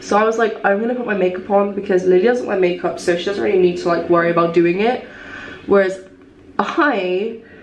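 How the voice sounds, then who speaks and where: The room echo is audible as a woman speaks. Light background noise sits behind her. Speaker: vlogger. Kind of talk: casual vlog chat. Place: bathroom. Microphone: phone near.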